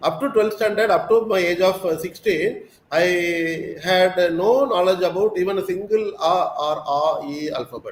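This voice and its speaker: Noticeable background noise sits under the voice. The speech moves at a moderate pace with ordinary pitch variation. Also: man, high pitch for a man. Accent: Tamil. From South India, Tamil Nadu. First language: Tamil. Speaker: school principal. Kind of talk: interview. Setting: live online session.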